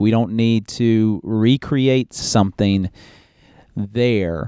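Fairly low in pitch, a man speaks with a dark, mellow tone and ordinary pitch variation. The sound is dry and close with no echo, over a quiet background. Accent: American. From West Virginia, Huntington. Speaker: pastor. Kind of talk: interview conversation.

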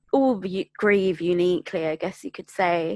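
A woman speaks at a medium pitch. The recording is very clean and dry, with a close sound, no echo and a silent background. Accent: London. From Greater London. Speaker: bereavement support worker and podcaster. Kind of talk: casual interview chat.

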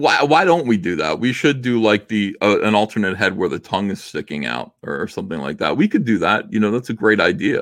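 Very wide pitch swings and vocal fry mark this fairly quick delivery with an American accent and hardly any pauses. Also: man, fairly low pitch for a man. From New Jersey. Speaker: comic book artist and publisher. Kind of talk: casual interview.

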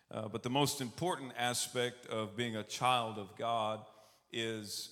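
Speaking at a fairly slow pace with a Texan accent and fairly even intonation, the voice carries audible room echo. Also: man. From Texas, Austin. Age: 30s. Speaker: preacher. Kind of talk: sermon. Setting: church service.

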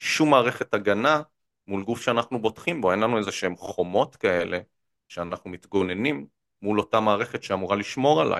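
Set against a quiet background, a man's fairly low voice comes at a moderate pace with ordinary pitch variation in a dry, close sound with no echo. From central Israel. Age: 30s. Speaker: political economy commentator. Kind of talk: interview. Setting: studio. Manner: energetic; frequent fillers and repetitions.

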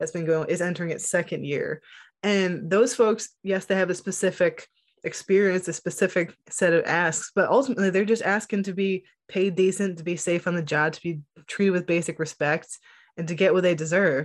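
In a plain, everyday voice, the speaker goes at a fairly quick pace with fairly even intonation on a very clean recording with a silent background. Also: woman, medium pitch for a woman. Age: 30s. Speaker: journalist and author. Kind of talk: casual interview.

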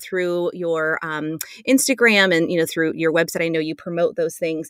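Fairly low, fairly quick female voice, an ordinary speaking voice with ordinary pitch variation, dry and close with no echo. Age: 40s. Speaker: podcast host and family therapist. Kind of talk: scripted intro; interview.

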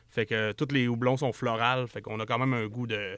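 Flat and monotone, a man talks fairly quickly at medium pitch in a very clean recording with a silent background. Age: 40s. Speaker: entrepreneur. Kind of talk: casual interview.

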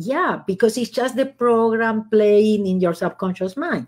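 Over a silent background in a very clean recording, a woman with a Spanish accent speaks at a moderate pace and medium pitch. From Argentina. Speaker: author and former accountant. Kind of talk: interview.

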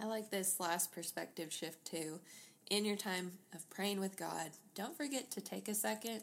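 A woman's vocal fry at a fairly slow pace, with ordinary pitch variation. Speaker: podcast co-host. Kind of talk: casual chat.

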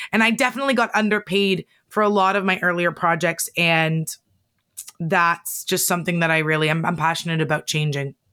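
A woman's fairly low-pitched, bright, sharp voice, animated in tone, at a fairly quick pace with ordinary pitch variation and very even loudness. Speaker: podcast producer and author. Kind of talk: interview conversation. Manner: animated, laughs often.

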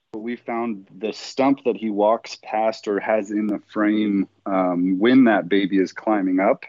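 A man with an American accent and a plain, everyday voice, fairly low in pitch, fairly slow, with fairly even intonation and hardly any pauses. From Lake Tahoe / Truckee area, California. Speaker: Bigfoot field researcher, former ghost hunter. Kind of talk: casual interview chat.

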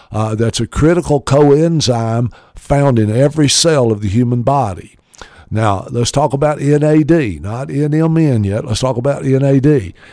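With a Southern US accent, a man talks at a fairly slow pace in a dark, mellow tone, at medium pitch with ordinary pitch variation. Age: 60s. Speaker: radio host. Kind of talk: radio show talk about supplements. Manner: informal, filler-heavy, promotional.

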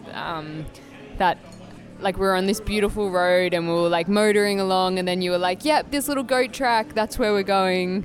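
With music in the background, a woman with an Australian accent talks at a medium pitch and moderate pace, using ordinary pitch variation. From Australia, Canberra. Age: 20s. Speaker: cyclist and architectural designer. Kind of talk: casual chat.

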